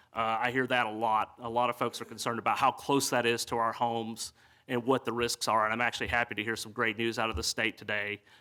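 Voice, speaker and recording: Very clean recording, silent background: a man with a Southern US accent speaks at a medium pitch and a fairly quick pace. His tone is bright and sharp, his intonation monotone and flat. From US South, East Tennessee. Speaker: city council candidate. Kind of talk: candidate forum speech. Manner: halting, many fillers.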